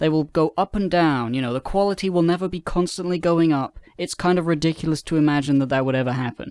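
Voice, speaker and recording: A man at a very fast pace with hardly any pauses. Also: fairly high pitch for a man, ordinary pitch variation, dry, close sound with no echo. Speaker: gaming video creator. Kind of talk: casual vlog.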